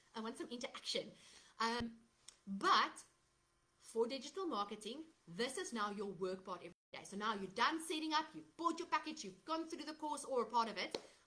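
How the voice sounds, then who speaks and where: Bright and sharp in tone, a woman with a South African accent speaks with very wide pitch swings and big swings in loudness. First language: Afrikaans. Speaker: digital marketer. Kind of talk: live stream sales talk. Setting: Facebook live from laptop. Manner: casual with fillers. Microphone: laptop microphone, unsure if working.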